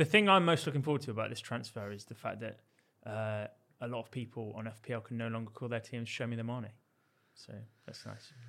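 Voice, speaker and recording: On a very clean recording with a silent background, a man talks very fast at a medium pitch with ordinary pitch variation, in a bright, sharp tone. His loudness swings widely, and his pauses are long and frequent. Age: 20s. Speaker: podcast co-host. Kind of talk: casual chat.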